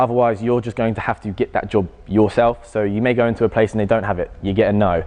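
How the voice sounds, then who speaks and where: Speaking very fast with fairly even intonation, a man with a dark, mellow tone talks in an English accent. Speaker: personal trainer. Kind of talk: public talk Q&A. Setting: college audience.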